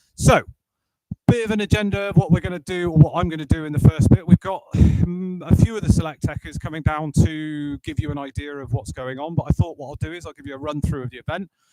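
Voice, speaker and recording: Loud and very fast, a man talks with ordinary pitch variation. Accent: West Country. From Bristol, England. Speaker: sales director presenting a workshop. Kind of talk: workshop presentation to live audience. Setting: auditorium with live audience, live streamed. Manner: loud, projecting without a microphone; casual, jokey.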